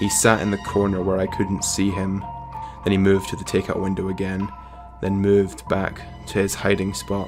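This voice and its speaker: With music playing in the background, a man talks at a fairly low pitch. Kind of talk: horror story reading, narrating a first-person story. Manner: hesitant, unpolished reading aloud.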